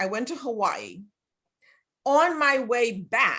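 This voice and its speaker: A woman with a Spanish accent speaks very slowly in a high voice. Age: 70s. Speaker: health coach and online group host. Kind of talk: casual chat. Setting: video call.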